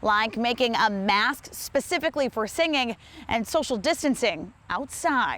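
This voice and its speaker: Noticeable background noise beneath a woman's lively intonation. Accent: American. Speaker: TV news reporter and anchor. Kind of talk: news package narration.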